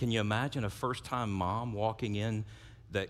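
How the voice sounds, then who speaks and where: A man's fairly low voice with a South Louisiana accent at a fairly slow pace, in a very clean recording with a silent background. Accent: South Louisiana Southern US. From US South, South Louisiana. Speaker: pastor. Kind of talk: sermon. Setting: church service. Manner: repeats first sounds of words.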